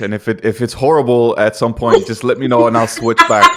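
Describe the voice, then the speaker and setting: Noticeable background noise under a man talking very fast. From Denmark. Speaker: podcast co-host. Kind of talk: casual chat.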